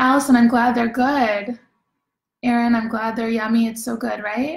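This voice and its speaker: A woman's fairly high voice stays monotone and flat in intonation as she talks at a moderate pace. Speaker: home baking class host. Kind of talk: casual live-stream chat reading comments.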